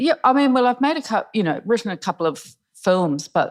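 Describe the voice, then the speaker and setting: Pitch swings very widely, with vocal fry at a moderate pace. The accent is New Zealand. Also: woman. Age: 60s. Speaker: screenwriter. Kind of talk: panel discussion. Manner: halting.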